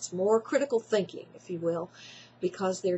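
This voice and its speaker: Here a woman talks with a Tennessee accent. Her voice is somewhat breathy, with ordinary pitch variation. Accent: Tennessee Southern. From Tennessee, Jackson. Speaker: college writing teacher. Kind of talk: testimonial talk. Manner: hesitant with fillers.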